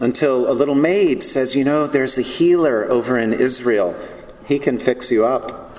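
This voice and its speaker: A man with an American accent and medium pitch speaks at a fairly slow pace with ordinary pitch variation, with audible room echo and noticeable background noise. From US South. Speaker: preacher. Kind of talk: sermon.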